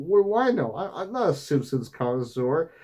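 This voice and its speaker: A man speaks at a moderate pace with very wide pitch swings, on a very clean recording with a silent background. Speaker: gaming vlogger. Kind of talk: casual monologue vlog. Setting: wearing fursuit head. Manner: slurred words.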